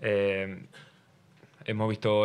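A man with a fairly low voice speaks in a flat monotone. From Argentina. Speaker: professional footballer. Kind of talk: press conference. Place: meeting room. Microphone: podium.

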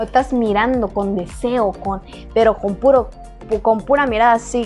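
An upbeat, playful woman speaks in a Chiapas accent. Faint music plays in the background. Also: moderate pace. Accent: Chiapas Mexican Spanish. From Chiapas, Mexico. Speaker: YouTuber. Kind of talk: casual talk to camera. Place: home room.

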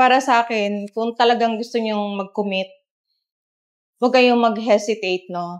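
A woman's fairly high voice at a moderate pace, with fairly even intonation and a quiet background. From Philippines. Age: 60s. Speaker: church volunteer, usher. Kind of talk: testimony. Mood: earnest, encouraging. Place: studio. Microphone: lapel.

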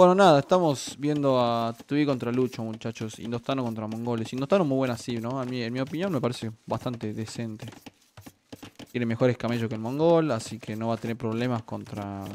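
A man with a Rioplatense accent, ordinary pitch variation and light background noise. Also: medium pitch for a man, fairly quick pace. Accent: Argentine Rioplatense Spanish. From Argentina. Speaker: streamer and game caster; streamer. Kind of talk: live commentary. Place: home room.

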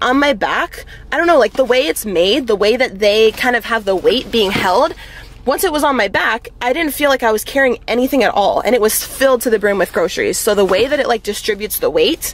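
With a dry sound and no echo, a woman speaks at a high pitch. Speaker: fitness vlogger. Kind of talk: casual vlog chat. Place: car. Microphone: phone near.

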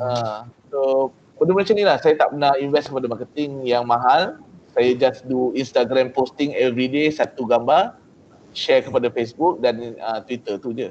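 With a Malaysian accent, a man talks at a moderate pace and medium pitch with ordinary pitch variation, over light background noise. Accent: Malaysian Malay with English code-switching. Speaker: entrepreneur. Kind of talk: talk to trainees. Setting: video call. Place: office. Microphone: video call.

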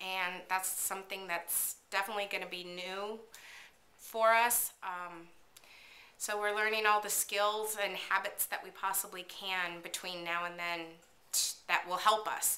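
A woman talks at a fairly slow pace. Her intonation stays monotone and flat. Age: 40s. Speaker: vlogger, work-at-home mom; mom blogger. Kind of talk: casual vlog monologue. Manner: hesitant, many fillers. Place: kitchen. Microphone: webcam.

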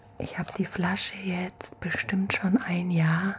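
A soft-spoken woman in a relaxed, gentle tone, at a fairly slow pace with fairly even intonation, over noticeable background noise. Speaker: ASMR creator. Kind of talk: ASMR soft-spoken skincare routine demo. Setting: home, at night, filmed on camera. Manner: soft-spoken, gentle, slow and soothing; relaxed, chatty, intimate. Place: home room. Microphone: studio mic.

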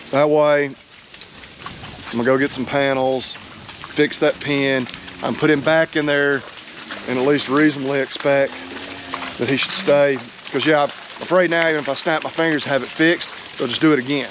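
A man speaks at a moderate pace in a monotone, flat intonation with long, frequent pauses. The sound is dry with no echo, and background noise is noticeable. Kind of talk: casual vlog chat. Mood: frustrated, then calmer. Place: farm machine. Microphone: phone near.

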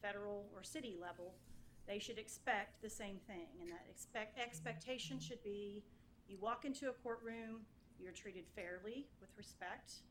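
A woman with an American accent talks at a moderate pace in a medium pitch, with ordinary pitch variation and big swings in loudness, in audible room echo. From Oklahoma (Yukon). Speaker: municipal judge. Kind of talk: acceptance speech. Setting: council chambers.

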